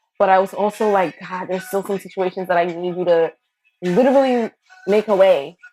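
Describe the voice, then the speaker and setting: With music playing in the background, a woman with an American accent talks at a moderate pace in an animated tone at a medium pitch. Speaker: teacher of a class. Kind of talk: casual testimony talk to camera. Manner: casual, animated, conversational.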